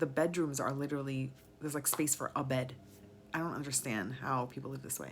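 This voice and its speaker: A woman with an American accent talks at a fairly quick pace, her very deep, low voice showing vocal fry. Her pitch variation is ordinary. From New York. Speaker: vlogger. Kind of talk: casual monologue.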